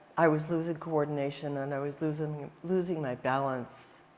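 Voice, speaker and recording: A woman speaks with a very deep, low pitch and a flat, monotone delivery. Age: 70s. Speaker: psychologist, workshop participant. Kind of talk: testimony. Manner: halting.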